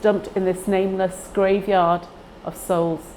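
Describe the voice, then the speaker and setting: At a very slow pace, a woman of medium pitch speaks in a monotone, flat intonation. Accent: Manchester. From northern England, Heywood near Manchester. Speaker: library user. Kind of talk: personal testimony.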